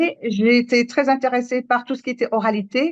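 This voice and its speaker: In a Moroccan accent, a woman speaks at a moderate pace with a fairly high pitch. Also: dry, close sound with no echo. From Morocco. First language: Moroccan Arabic (speaking French). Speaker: storyteller. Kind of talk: panel discussion. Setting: live public event. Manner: halting.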